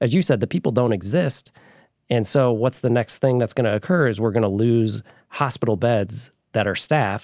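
A man with a plain, everyday voice speaks at a medium pitch and a moderate pace with ordinary pitch variation and very even loudness, in a very clean, dry, close recording with a silent background and no echo. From southwest Michigan, US. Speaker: hospital association lobbyist. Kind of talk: casual interview.

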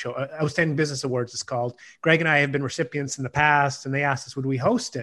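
Against a quiet background, a man speaks at a fairly quick pace with a fairly high pitch and fairly even intonation. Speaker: executive coach. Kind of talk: casual chat. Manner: halting, many fillers.

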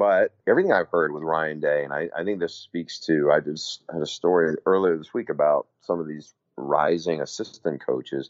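Hardly pausing, a man with a very deep, low pitch keeps a moderate pace and fairly even intonation. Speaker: college football analyst and sideline reporter. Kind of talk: casual sports talk podcast. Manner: relaxed, lower energy than on air.

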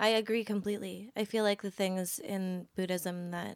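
On a very clean recording with a silent background, a woman speaks with a Californian accent. Her pitch is medium and her intonation fairly even. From Los Angeles, San Fernando Valley. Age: 20s. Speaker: design student. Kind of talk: casual chat. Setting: sitting on host's bed.

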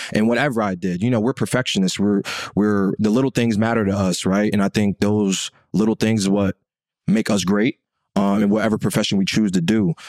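A man with an ordinary speaking voice speaks at a fairly quick pace with fairly even intonation and fairly low pitch. Loudness stays very even, and the sound is dry and close with no echo on a very clean recording with a silent background. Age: 20s. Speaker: podcast co-host, former football player. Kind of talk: casual chat.

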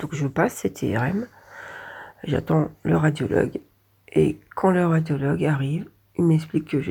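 In a very deep, low pitch with vocal fry and a dark, mellow tone, a woman speaks at a fairly slow pace with lively intonation and long, frequent pauses. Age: 40s. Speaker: warehouse order picker, patient. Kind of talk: patient testimony.

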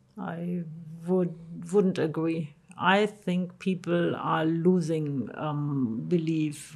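Over noticeable background noise, a woman talks at a very slow pace and a fairly low pitch. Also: ordinary pitch variation. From Germany. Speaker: pastor. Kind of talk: casual chat.

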